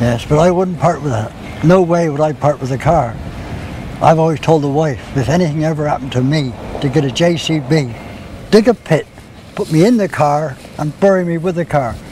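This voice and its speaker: A man's fairly high voice at a fairly quick pace, with long, frequent pauses, ordinary pitch variation and noticeable background noise. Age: 70s. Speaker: classic car owner. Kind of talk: interview.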